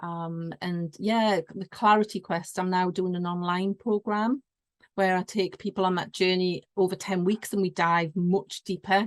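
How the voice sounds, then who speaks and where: A woman's medium-pitched voice with a northeast English accent, at a moderate pace, flat and monotone, in a dry, close sound with no echo. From northeast England. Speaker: business consultant. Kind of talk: interview.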